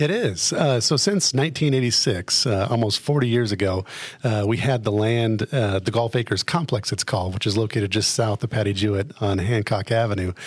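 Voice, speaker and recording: With an American accent, a man speaks at a fairly quick pace with hardly any pauses, at medium pitch with ordinary pitch variation, in a somewhat breathy voice of very even loudness. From Colorado, Fremont County. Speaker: city government official. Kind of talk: interview. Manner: many fillers, hesitant.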